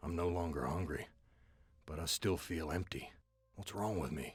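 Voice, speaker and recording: Put on as a character, this man's voice is raspy and very deep, with a weary tone. He keeps a moderate pace. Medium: video game. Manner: bitter, world-weary, sardonic.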